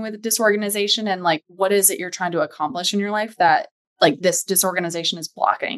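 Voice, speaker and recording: A woman with a normal speaking voice and an American accent talks at a fairly quick pace, medium pitch and ordinary pitch variation against a quiet background. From US South, Charlotte, North Carolina. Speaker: home organizing business owner. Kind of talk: casual interview chat.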